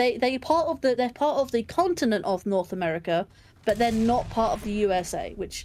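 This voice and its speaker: Someone talks at a fairly quick pace. Behind the voice, music can be heard. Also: woman. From England. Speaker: gaming streamer. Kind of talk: casual chat. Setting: live stream.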